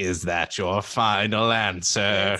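A man uses a put-on character voice, fairly low in pitch and delivered with flat, monotone intonation. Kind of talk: mock-solemn game-show riddler. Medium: actual play. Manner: formal, archaic phrasing.

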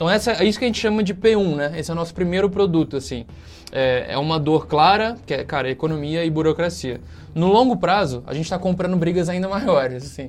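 Very fast speech from a man, high-pitched, his pitch varying in an ordinary way. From Brazil, Rio de Janeiro state (Volta Redonda). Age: 20s. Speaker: startup CEO. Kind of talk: casual interview. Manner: casual, filler-heavy.

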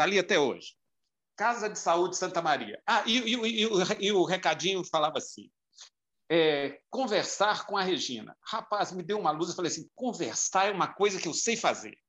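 In a raised, projected voice, a man speaks at a moderate pace with a high pitch, a bright, sharp tone and ordinary pitch variation. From Minas Gerais, Brazil (João Monlevade). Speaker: marketing and communications professional. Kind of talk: casual interview chat. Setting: remote call.

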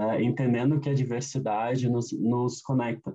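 This man has a medium-pitched, dark, mellow tone. His voice is somewhat breathy. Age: 30s. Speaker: diversity consultant. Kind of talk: interview. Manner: hesitant, many fillers.

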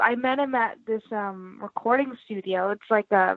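Her normal speaking voice sits at a fairly high pitch, and the woman keeps a fairly even intonation at a moderate pace. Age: 20s. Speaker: guitarist and songwriter. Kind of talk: casual interview.

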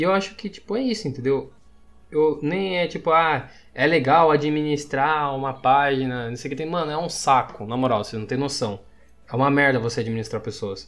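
Ordinary pitch variation at a moderate pace, with music in the background. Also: man, fairly high pitch for a man. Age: 20s. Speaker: meme page creator. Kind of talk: casual chat.

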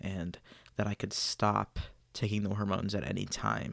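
Speaking at a moderate pace, a man keeps a fairly low pitch in monotone, flat intonation. The recording is very clean, with a silent background. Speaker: podcaster sharing personal story. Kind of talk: personal storytelling monologue.

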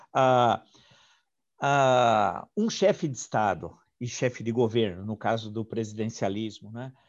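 Spoken at a very slow pace, the voice shows ordinary pitch variation. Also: man, medium pitch for a man. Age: 60s. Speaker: historian and interviewer. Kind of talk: interview. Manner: halting.

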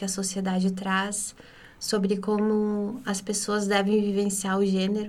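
Her voice sits at a medium pitch and moves at a fairly slow pace, with monotone, flat intonation. The woman's speech carries audible room echo. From interior of Rio Grande do Sul, Brazil. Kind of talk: podcast interview.

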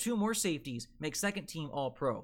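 A man with an American accent speaks at a fairly slow pace with lively intonation. The recording is very clean, with a silent background. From Delaware, US. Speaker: sports podcast host and NFL writer. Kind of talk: solo sports podcast monologue, live streamed. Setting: live stream.

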